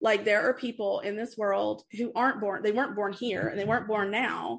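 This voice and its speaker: Against a quiet background, a woman with vocal fry speaks at a fairly quick pace and a medium pitch. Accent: American. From US South, East Tennessee (Appalachia). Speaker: podcaster and mom. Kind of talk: casual interview chat. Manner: hesitant, many fillers.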